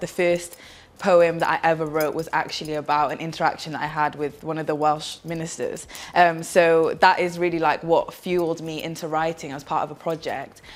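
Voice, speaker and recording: Over noticeable background noise, a woman speaks fairly quickly at a fairly low pitch with monotone, flat intonation. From Cardiff, Wales. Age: 20s. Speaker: spoken word poet. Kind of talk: interview answer. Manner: casual, hesitant with fillers.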